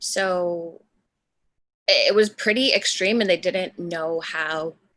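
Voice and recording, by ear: A woman speaks with a fairly bright tone and fairly low pitch. Her pitch moves very little.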